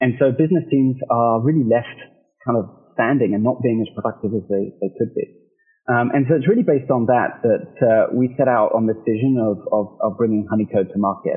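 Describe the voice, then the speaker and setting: A man at a medium pitch and fairly quick pace, ordinary pitch variation, music in the background. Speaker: product manager. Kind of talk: product demo walkthrough.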